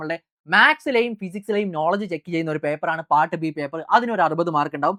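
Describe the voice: Lively intonation, a fast pace and a fairly bright tone come through in a dry, close sound with no echo. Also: woman.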